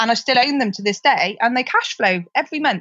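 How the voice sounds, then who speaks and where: A woman with a West Country accent speaks at a moderate pace with very wide pitch swings. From Gloucestershire, England. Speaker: property investor and sourcer. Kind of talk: casual interview.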